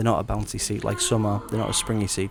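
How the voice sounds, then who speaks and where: Noticeable background noise sits behind a soft-spoken man with an English accent. He speaks at a very fast pace in a fairly low pitch. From England. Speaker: travel vlogger. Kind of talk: travel vlog. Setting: on a subway train.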